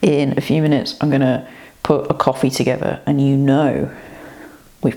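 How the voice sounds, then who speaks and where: A woman keeps a moderate pace while noticeable background noise carries on around her. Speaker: running vlogger. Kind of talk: casual vlog. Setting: hotel room. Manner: quiet.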